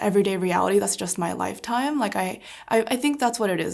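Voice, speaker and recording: A woman with a Californian accent, on a very clean recording with a silent background. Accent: Californian American English. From US West Coast, Orange County, California. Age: 20s. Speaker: urban planner. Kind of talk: interview. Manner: casual, many fillers.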